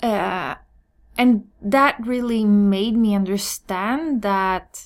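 Ordinary pitch variation marks a woman's speech in a Swedish accent. The recording is very clean, with a silent background. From Sweden. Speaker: hairstylist and business coach. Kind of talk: solo podcast monologue.

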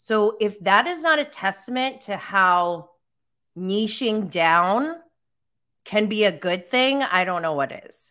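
A woman with an American accent speaks at a very slow pace in a bright, sharp tone, with very wide pitch swings and big swings in loudness on a very clean recording with a silent background. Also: medium pitch for a woman. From upstate New York. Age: 40s. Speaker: podcast host and content creator. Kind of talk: live-stream talk. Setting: live stream from home. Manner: casual, filler-heavy.

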